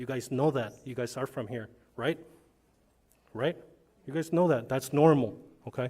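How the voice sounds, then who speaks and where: On a very clean recording with a silent background, a man talks at a fairly high pitch with a dark, mellow tone. His pitch varies ordinarily and his pace is moderate. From US Southwest, Calexico, California border town. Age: 50s. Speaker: public commenter, retired law enforcement officer. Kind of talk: public comment speech. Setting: school board meeting. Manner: conversational, repetitive filler 'okay'.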